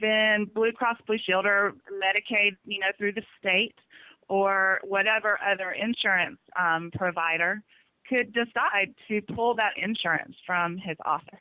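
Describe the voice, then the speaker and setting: A woman with a Southern US accent speaks at a fairly slow pace in a medium pitch, her intonation fairly even. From US South. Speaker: caller sharing experience with pediatric practice. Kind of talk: radio call-in talk.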